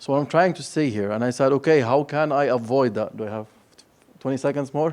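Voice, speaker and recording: A man with a fairly high pitch speaks at a very fast rate. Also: ordinary pitch variation. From Lebanon. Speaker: company director, panelist. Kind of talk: panel discussion.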